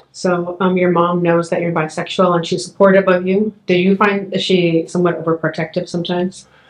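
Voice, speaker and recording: Her fairly low voice flat and monotone, a woman talks at a fairly quick pace with hardly any pauses, and audible room echo surrounds her. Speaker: history professor. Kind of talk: oral history interview. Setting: in person. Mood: gentle, supportive. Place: studio.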